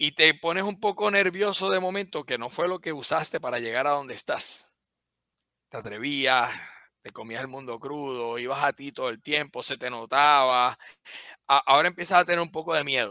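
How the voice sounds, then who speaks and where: A man talks at a moderate pace with big swings in loudness. The recording is very clean, with a silent background and a dry, close sound with no echo. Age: 50s. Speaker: biomedical engineer and company CEO. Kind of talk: interview. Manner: halting, many repetitions.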